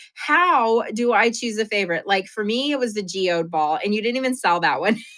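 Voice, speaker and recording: A woman with an American accent speaks at a moderate pace in an animated tone, her fairly high voice full of lively intonation. Noticeable background noise can be heard. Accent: New Mexican with some picked-up Southern. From New Mexico, US Southwest. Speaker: live-stream seller and art show host. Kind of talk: casual live-stream chat.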